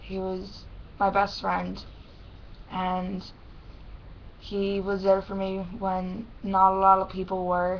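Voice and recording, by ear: Speaking slowly at a medium pitch, a woman keeps a flat monotone and leaves long, frequent pauses.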